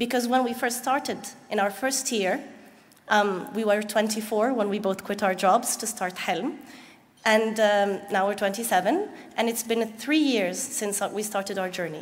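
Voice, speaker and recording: Speaking fairly slowly with an Arabic accent, a woman uses a fairly high pitch with ordinary pitch variation. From Egypt. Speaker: nonprofit founder; speaker. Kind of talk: conference presentation. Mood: earnest, smiling. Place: hall.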